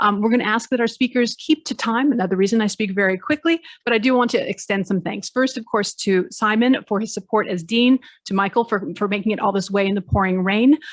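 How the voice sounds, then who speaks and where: At a fairly quick pace, a woman speaks in a fairly high pitch with ordinary pitch variation, in a dry, close sound with no echo and a quiet background. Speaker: law professor and conference organiser. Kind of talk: conference opening announcements. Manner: fast.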